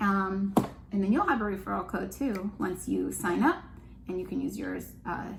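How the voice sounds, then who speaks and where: Noticeable background noise and audible room echo around a woman's voice. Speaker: homeschooling parent and channel host. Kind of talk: casual chat. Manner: fast.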